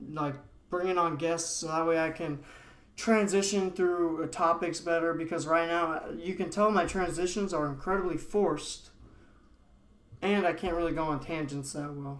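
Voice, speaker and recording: A man with a high-pitched voice talks at a moderate pace, with audible room echo. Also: fairly even intonation. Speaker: podcaster. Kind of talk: solo podcast monologue. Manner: monotonous; stuttering. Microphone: laptop recording, unedited.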